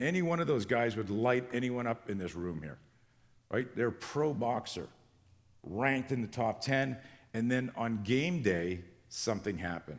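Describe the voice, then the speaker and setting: Using lively intonation, a man talks at a medium pitch. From Canada. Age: 60s. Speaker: self-defense instructor. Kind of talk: conference presentation. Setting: stage with audience. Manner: fast.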